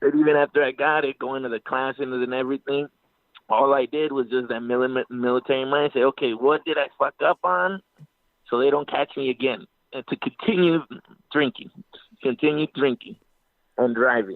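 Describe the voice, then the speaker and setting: At a moderate pace broken by long, frequent pauses, a man speaks at a medium pitch with ordinary pitch variation. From Mexico (Guadalajara), raised in California. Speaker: army veteran and actor. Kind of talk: casual chat. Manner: halting.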